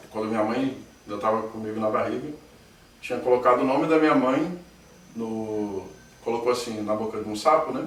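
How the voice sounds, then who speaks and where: Over noticeable background noise and audible room echo, a man of medium pitch speaks at a fairly quick pace with ordinary pitch variation. He takes long, frequent pauses. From Rio de Janeiro, Brazil (Niterói). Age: 30s. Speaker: interviewee claiming alien abduction. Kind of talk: testimony.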